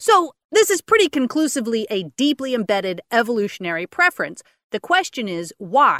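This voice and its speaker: A woman talks at a fairly quick pace in a high pitch with very wide pitch swings and a bright, sharp tone, recorded very cleanly against a silent background with a dry, close sound and no echo. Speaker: podcast co-host. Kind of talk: casual chat, news roundup.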